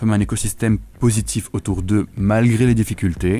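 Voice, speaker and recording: A dark, mellow tone carries speech delivered at a fairly quick pace. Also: man. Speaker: translator and linguist. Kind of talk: radio interview.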